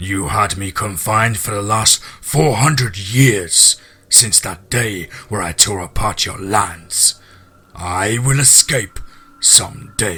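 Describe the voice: A man's put-on character voice, fairly low in pitch with ordinary pitch variation, a slow pace, a slightly husky edge and a bright, sharp tone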